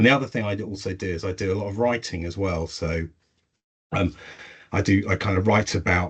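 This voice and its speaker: A man with an English accent talks at a fairly quick pace with fairly low pitch and fairly even intonation, broken by long, frequent pauses. His voice is somewhat breathy. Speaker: intranet consultant. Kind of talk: webinar presentation. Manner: hesitant, many fillers.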